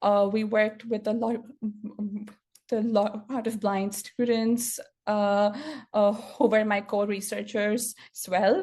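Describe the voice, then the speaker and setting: Very slowly and with monotone, flat intonation, a woman speaks in a fairly high, somewhat breathy voice. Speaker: software engineer and stuttering advocate. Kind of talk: conference talk. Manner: stuttered speech with repetitions and fillers.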